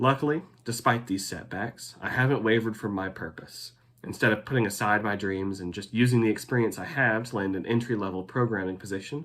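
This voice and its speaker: A man's fairly low voice at a fairly quick pace, with ordinary pitch variation. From Texas, Denton. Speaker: graduate student. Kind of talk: scripted narration.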